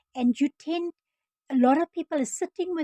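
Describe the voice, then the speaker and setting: A woman with a South African accent talks at a moderate pace in a dark, mellow tone, with ordinary pitch variation and a dry, close sound with no echo. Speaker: former nurse turned online business vlogger. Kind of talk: casual vlog introduction. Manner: halting, many fillers and restarts.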